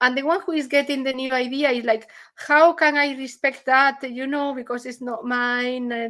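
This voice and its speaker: A woman with a non-native accent speaks at a high pitch and a moderate pace. Her intonation stays fairly even, with hardly any pauses. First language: not English. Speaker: artist in an art collective. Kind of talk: presentation discussion on video call. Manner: halting, self-correcting.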